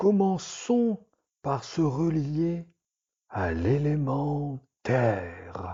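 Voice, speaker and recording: A man performs a put-on character voice at a fairly high pitch, with very wide pitch swings. He speaks at a very slow pace, with long, frequent pauses. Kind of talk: bedtime relaxation story. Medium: read story. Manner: slow, soothing, meditative.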